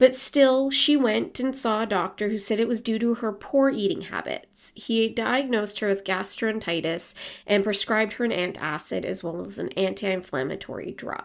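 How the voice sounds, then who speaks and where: Recorded very cleanly with a silent background, a woman with a plain, everyday voice speaks at a moderate pace, her fairly high pitch carrying lively intonation. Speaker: podcast host and storyteller. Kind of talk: true-crime narration, storytelling read with a casual, chatty tone. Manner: conversational, wry, with lukewarm humor and asides.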